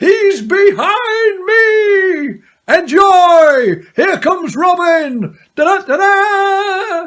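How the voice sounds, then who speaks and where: The voice sits at an extremely high pitch and moves at a very slow pace. Hardly any pauses break it up. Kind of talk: cheery pantomime compère. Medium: stage play. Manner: cheery, upbeat.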